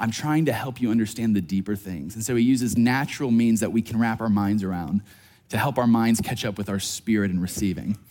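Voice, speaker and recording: At a fairly quick pace, a man talks in a dark, mellow tone at medium pitch with ordinary pitch variation. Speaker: pastor. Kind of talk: sermon. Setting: church. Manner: fast talker.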